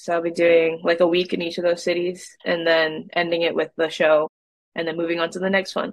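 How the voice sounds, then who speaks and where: A woman with an American accent speaks at a fairly low pitch and fairly quick pace, her intonation monotone and flat, in a dry sound with no echo against a quiet background. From Massachusetts, Boston suburbs. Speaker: singer-songwriter. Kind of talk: casual interview. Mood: animated, friendly. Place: home room. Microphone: video call.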